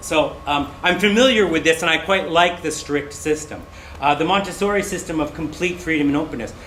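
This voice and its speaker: A man's fairly high voice at a fairly quick pace, with ordinary pitch variation, noticeable background noise and audible room echo. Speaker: English teacher trainer. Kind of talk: presentation.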